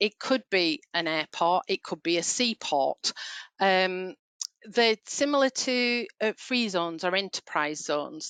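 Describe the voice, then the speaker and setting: A woman with a Yorkshire accent speaks at a very slow pace and medium pitch, her bright, sharp tone and lively intonation heard in a dry, close sound with no echo over a quiet background. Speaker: payroll trainer. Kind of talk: webinar training session. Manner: hesitant, many fillers.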